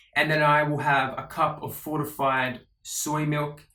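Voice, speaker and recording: The voice has a bright, sharp tone. It carries an Australian accent. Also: man. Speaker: vlogger. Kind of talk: casual vlog monologue. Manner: casual, with many fillers.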